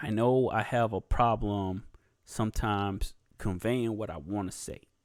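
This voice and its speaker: A man speaks with an American accent at a fairly low pitch and ordinary pitch variation. The recording is very clean, with a silent background. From US South. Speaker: YouTube podcast host. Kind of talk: casual solo podcast talk. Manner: halting, many fillers and pauses.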